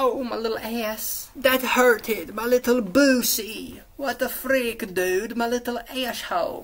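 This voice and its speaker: A put-on character voice, female-sounding and whiny in tone, comes at a high pitch and a fairly slow pace with hardly any pauses. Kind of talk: casual, juvenile slang. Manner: whiny, silly.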